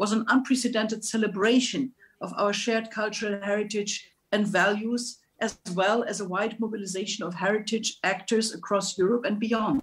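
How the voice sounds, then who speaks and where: Somewhat breathy and fairly high in pitch, a woman speaks at a moderate pace with fairly even intonation. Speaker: European politician. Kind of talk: prepared speech. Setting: video call.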